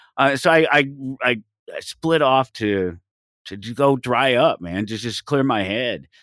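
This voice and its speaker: Recorded very cleanly against a silent background, a man's voice sounds dry and close with no echo. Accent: American. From Denver, Colorado. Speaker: radio host and anarchist podcaster. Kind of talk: casual interview chat. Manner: halting, many repeated words and fillers.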